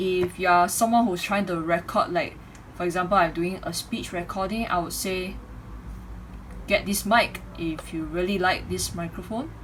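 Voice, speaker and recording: Over noticeable background noise, a woman talks at a moderate pace and medium pitch with fairly even intonation. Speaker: YouTuber reviewing a microphone. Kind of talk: product review. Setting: home bedroom.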